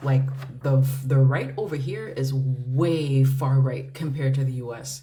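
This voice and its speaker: A woman's very deep, low voice at a fairly slow pace, with big swings in loudness, music in the background and audible room echo. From United States. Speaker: tarot reader. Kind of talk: tarot reading livestream. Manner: casual, hesitant with many fillers and repeats.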